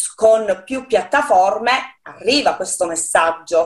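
Very slowly, a woman talks at a medium pitch. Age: 40s. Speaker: poet. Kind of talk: interview. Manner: halting.

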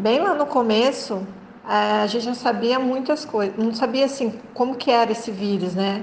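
Noticeable background noise and audible room echo surround a woman's voice. She speaks fairly high with fairly even intonation. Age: 50s. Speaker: forestry engineer, port inspection business owner. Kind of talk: interview.

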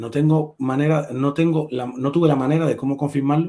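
There is a somewhat breathy sound to this man's fairly high voice. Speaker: livestream host. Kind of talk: casual chat. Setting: live stream.

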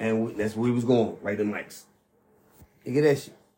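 A man's voice at a moderate pace, slightly mellow in tone, with audible room echo.

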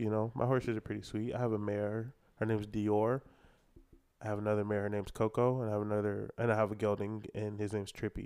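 With an American accent, a man talks at a very fast pace in a fairly low, dark and mellow voice against a quiet background. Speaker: college rodeo roper. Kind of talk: casual chat. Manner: animated.

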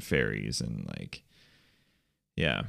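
The speaker is a man talking at a very slow pace. The recording is very clean, with a silent background. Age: 20s. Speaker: podcast co-host. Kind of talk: casual chat.

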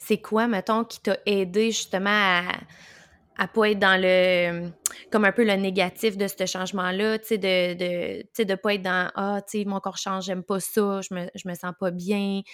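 Over a silent background in a very clean recording, a woman talks at a fairly slow pace with a medium pitch and flat, monotone intonation. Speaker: podcast host, birth doula. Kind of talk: casual interview chat.

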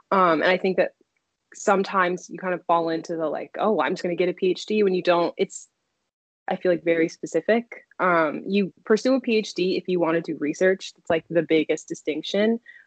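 Here a woman with an American accent has an unremarkable speaking voice and a fairly low pitch, talking at a fairly quick pace with ordinary pitch variation. The sound is dry and close, with no echo. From US Mid-Atlantic (Silver Spring, Maryland). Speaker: PhD student, psychology researcher. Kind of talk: casual interview.

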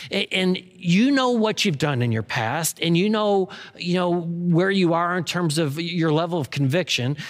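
A man talks with lively intonation. He hardly pauses at all. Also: very even loudness. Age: 50s. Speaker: pastor. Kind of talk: sermon. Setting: recorded in an empty room. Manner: halting; less energetic than usual.

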